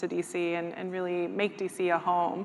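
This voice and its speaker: The speaker talks at a fairly quick pace with a Spanish accent. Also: woman. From El Salvador. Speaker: nonprofit communications director. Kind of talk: live panel interview. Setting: stage with audience.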